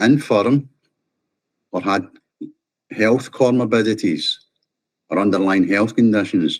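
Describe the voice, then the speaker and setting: With a Scottish accent, a man at a medium pitch speaks at a fairly slow pace with ordinary pitch variation and long, frequent pauses. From Scotland. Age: 50s. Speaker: vaccine-injured scaffolder. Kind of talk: interview testimony. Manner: passionate, forceful.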